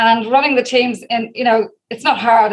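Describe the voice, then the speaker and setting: Here a woman speaks in an Irish accent at a fairly high pitch. Her pace is fairly quick and her intonation fairly even. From Ireland, Dublin. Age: 50s. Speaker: direct sales leader. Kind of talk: interview. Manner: fast.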